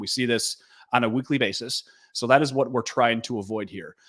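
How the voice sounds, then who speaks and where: A man's medium-pitched voice in a Minnesota accent, with fairly even intonation. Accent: Minnesotan. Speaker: gold dealer company president. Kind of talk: sales webinar presentation. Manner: frequent fillers and repetitions.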